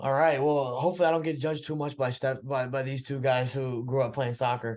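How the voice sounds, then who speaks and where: Against a quiet background, a man with an American accent speaks at a medium pitch with fairly even intonation, in an ordinary speaking voice. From Texas, US (Brazilian family). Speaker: podcast guest, social media director. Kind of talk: casual chat.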